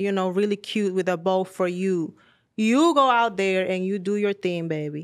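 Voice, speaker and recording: Speaking with a Spanish accent, a woman uses a medium pitch and ordinary pitch variation at a moderate pace in a very clean recording with a silent background. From Dominican Republic. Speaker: model. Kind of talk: casual chat. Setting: studio.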